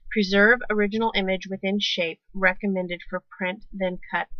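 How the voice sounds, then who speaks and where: Mumbling at a moderate pace, a woman speaks with a medium pitch and fairly even intonation. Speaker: crafting tutorial youtuber. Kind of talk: tutorial. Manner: mumbles to herself; casual, conversational.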